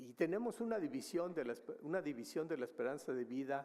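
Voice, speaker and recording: A man speaks in a dark, mellow tone. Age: 70s. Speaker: demographer, researcher. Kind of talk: conference presentation. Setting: conference hall with audience. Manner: hesitant, many fillers.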